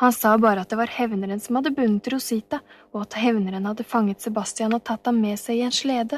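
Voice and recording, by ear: Fairly even intonation in a natural read-aloud voice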